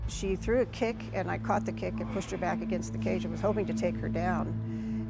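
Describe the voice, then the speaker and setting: A fairly quick woman's voice, very deep and low in pitch, fairly even in intonation, with music in the background. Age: 60s. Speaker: MMA fighter. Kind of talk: interview answer.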